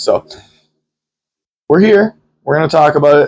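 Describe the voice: The man's voice is nasal. His pitch varies in an ordinary way.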